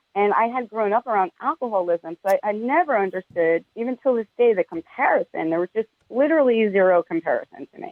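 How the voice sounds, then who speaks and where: With a New York accent, a woman of fairly high pitch speaks at a very fast pace with very wide pitch swings and hardly any pauses. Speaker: cannabis media entrepreneur. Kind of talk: interview.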